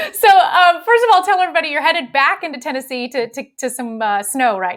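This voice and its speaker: Over music in the background, a woman talks at a very fast pace with a high pitch and very wide pitch swings. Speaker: live show host. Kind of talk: casual interview.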